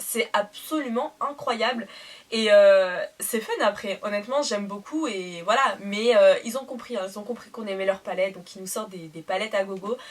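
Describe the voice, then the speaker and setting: A woman speaks at a moderate pace in a fairly high voice, her loudness swinging widely while her pitch varies in an ordinary way, over noticeable background noise. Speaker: beauty youtuber. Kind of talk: product haul review. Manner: animated; hesitant fillers.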